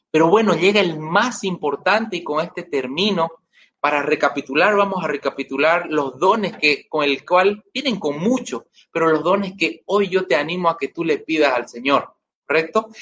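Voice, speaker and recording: Here a man talks with a high pitch and ordinary pitch variation. He keeps a moderate pace. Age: 30s. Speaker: lay preacher. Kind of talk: sermon.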